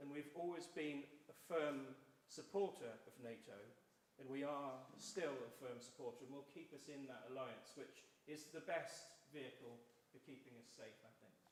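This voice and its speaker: With a Welsh accent, a man talks at a moderate pace in a fairly high pitch, his pitch varying in an ordinary way and his loudness swinging widely, over noticeable background noise and audible room echo. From South Wales. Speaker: election candidate. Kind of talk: public debate. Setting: church hall hustings with audience.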